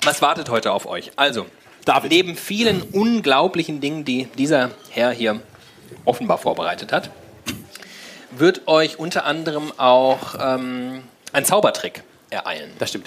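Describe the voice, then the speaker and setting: A man with a fairly high voice and lively intonation, fairly slow, with long, frequent pauses and noticeable background noise. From Frankfurt. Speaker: podcast host. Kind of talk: live show banter. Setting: stage with audience.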